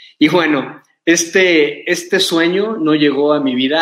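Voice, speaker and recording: A man with a fairly high pitch talks at a very slow pace. His pitch varies in an ordinary way. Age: 40s. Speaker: mountaineer and motivational speaker. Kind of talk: motivational talk.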